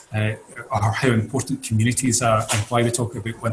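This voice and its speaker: A man with a Scottish accent speaks at a medium pitch in a flat, monotone way. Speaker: mental health recovery expert. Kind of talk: interview.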